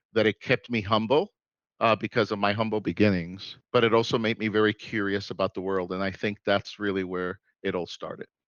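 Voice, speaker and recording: The recording is dry and close, with no echo and a quiet background. A man speaks at a moderate pace in a fairly low monotone, his intonation flat. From New York City, Puerto Rican parents. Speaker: inventor and serial entrepreneur. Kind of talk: interview. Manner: halting.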